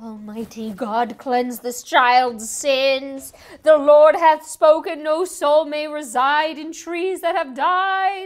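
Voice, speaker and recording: A woman puts on a character voice, pitched high. She talks very slowly yet with hardly any pauses. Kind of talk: mock sermon voice. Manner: zealous, preaching.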